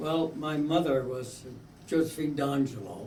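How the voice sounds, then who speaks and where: Audible room echo and noticeable background noise surround this recording. A man with an American accent speaks at a fairly slow pace with ordinary pitch variation. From eastern Pennsylvania, US. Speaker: interviewee, son of Italian immigrants. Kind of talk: oral history interview. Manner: halting, hesitant.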